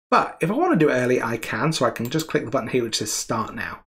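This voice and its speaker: A man talks at a fairly quick pace, his voice somewhat breathy. His pitch swings very widely, and the background is quiet. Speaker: presenter. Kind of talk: tutorial. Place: home room.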